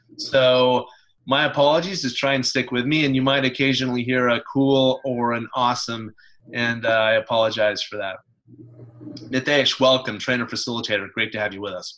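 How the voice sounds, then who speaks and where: At a fairly quick pace, a man of medium pitch talks with a West Coast US accent. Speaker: webinar presenter. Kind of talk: presentation. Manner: fast.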